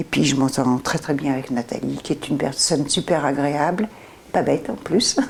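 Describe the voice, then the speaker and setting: A woman with a very deep, low pitch talks at a moderate pace, her pitch varying in an ordinary way, while noticeable background noise carries on. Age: 70s. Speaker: future tenant. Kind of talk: interview.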